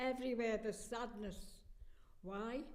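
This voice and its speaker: A woman talks with a Liverpool accent at a fairly high pitch and fairly even intonation. Her pace is fairly slow, and the room echo is audible. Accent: Liverpool (Scouse). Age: 80s+. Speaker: war evacuee. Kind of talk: interview.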